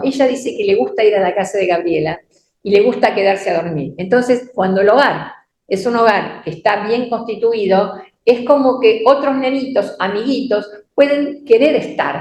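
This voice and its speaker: Speaking with a Rioplatense accent at a moderate pace, a woman uses lively intonation and a fairly high pitch, with audible room echo. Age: 70s. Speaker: church teacher. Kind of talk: sermon. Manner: halting.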